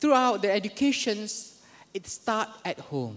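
This man's pitch swings very widely as he talks. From Malaysia, Kelantan (Kota Bharu); Kelantan, Malaysia. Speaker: university lecturer and deputy dean; university lecturer. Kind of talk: conference talk. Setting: stage with audience. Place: hall. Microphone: podium.

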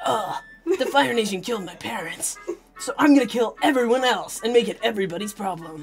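In a put-on character voice, the speaker goes at a fairly quick pace with a fairly high pitch, as faint music plays in the background. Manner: dramatic, deadpan tough.

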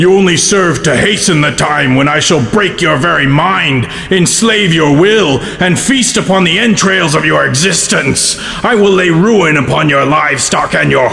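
Clear background noise runs behind a put-on character voice. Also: man, fairly high pitch for a man, moderate pace. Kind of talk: horror villain overacting. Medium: comedy sketch. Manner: menacing, grandiose.

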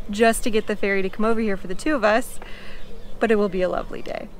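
A woman talks at a very fast pace with fairly even intonation, in a dry sound with no echo and light background noise. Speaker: travel vlogger. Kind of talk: casual vlog chat. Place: garden. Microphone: phone near.

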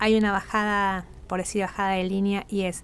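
The woman's voice sits at a medium pitch. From Argentina, Corrientes; Argentina. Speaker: carnival troupe leader; radio guest. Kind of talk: radio interview. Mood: happy, emotional. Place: studio. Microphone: studio mic.

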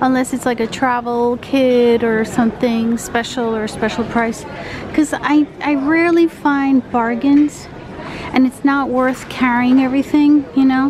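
Against light background noise, a woman talks at a fairly slow pace with a high pitch. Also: fairly even intonation. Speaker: travel vlogger. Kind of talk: casual vlog chat. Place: shop. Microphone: phone near.

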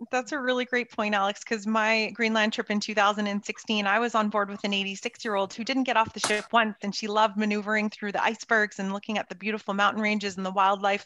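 Speaking at a very fast pace, a woman has a fairly high pitch and a bright, sharp tone, heard dry with no echo over a quiet background. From Canada, Toronto. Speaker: expedition company sales representative. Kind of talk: presentation. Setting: video call. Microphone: video call.

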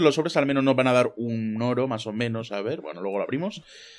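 Music plays in the background as a man talks at a moderate pace in an animated tone. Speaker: gaming youtuber. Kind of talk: gameplay commentary.

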